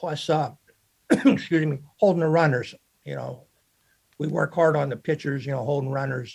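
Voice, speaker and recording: A somewhat breathy, fairly high male voice with an American accent at a moderate pace. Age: 70s. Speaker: baseball and football coach. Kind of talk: podcast interview. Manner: halting, many fillers.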